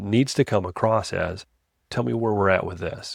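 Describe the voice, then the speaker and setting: A man's voice with ordinary pitch variation, a dry, close sound with no echo, and a very clean recording with a silent background. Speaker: sales podcast host. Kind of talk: podcast monologue on sales tips. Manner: fast-talking.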